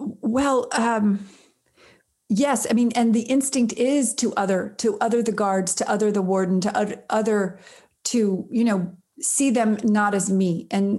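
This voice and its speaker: A woman's fairly high, somewhat breathy voice with a dark, mellow tone and ordinary pitch variation, at a fairly slow pace against a quiet background. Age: 50s. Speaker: prison reform nonprofit founder and filmmaker. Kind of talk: interview. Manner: halting.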